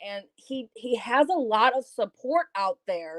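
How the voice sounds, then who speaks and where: A woman's voice, recorded very cleanly against a silent background. The sound is dry and close, with no echo. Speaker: YouTube content creator. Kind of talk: casual chat. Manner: loud.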